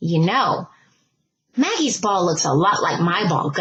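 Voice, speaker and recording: At a fairly slow pace, a woman speaks in a put-on character voice. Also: medium pitch for a woman. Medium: read story.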